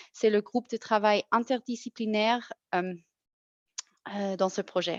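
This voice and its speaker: Against a quiet background, a woman with a non-native accent speaks with ordinary pitch variation. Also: dry, close sound with no echo. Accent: non-native French, audible. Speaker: federal health official. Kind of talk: webinar presentation. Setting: online webinar. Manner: halting, frequent self-corrections.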